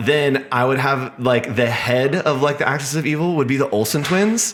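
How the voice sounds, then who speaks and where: This man has a fairly high pitch, ordinary pitch variation and very even loudness. He talks at a moderate pace over noticeable background noise. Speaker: designer and artist. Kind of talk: casual interview chat. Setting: coworking space. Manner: animated, many fillers.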